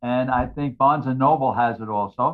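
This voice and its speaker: Speaking with a New York accent, a man keeps a moderate pace. His fairly high pitch shows ordinary variation. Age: 80s+. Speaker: retired firefighter and author. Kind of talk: casual chat. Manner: loud.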